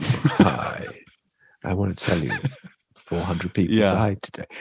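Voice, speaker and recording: A raspy put-on character voice moves at a fairly slow pace. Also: man, very deep, low pitch for a man. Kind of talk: casual chatty, like news announcer. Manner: cheerful, inappropriately upbeat.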